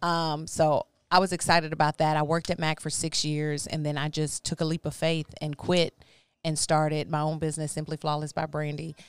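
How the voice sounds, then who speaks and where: With a very deep, low pitch, a woman talks at a fairly quick pace in a monotone, flat intonation, her dry, close sound having no echo in a very clean recording with a silent background. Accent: American. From Texas, Houston area. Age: 30s. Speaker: makeup artist and singer. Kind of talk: casual chat. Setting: studio.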